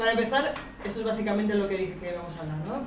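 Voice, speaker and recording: A woman speaks at a medium pitch, with audible room echo and noticeable background noise. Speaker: researcher on gender and armed conflict. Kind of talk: public talk. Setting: talk with live audience. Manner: fast; animated.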